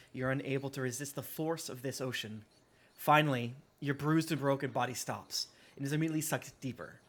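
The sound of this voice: The voice reading here is an unforced reading voice.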